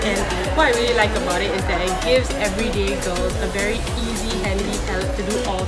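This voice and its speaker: Loud music fills the background. A woman speaks over it at a moderate pace. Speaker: beauty vlogger. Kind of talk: casual vlog product recommendation. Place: shop. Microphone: phone near.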